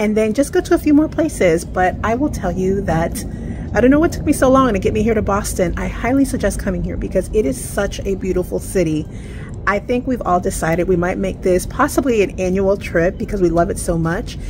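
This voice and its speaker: A woman speaks at a fairly quick pace. Noticeable background noise runs underneath. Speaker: travel vlogger. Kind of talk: casual vlog chat. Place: street. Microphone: phone near.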